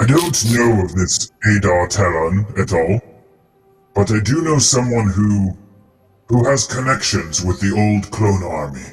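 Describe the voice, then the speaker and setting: A man puts on a character voice with a fairly low pitch and lively intonation. He leaves long, frequent pauses. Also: moderate pace. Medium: actual play. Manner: polite, shrewd dealmaker.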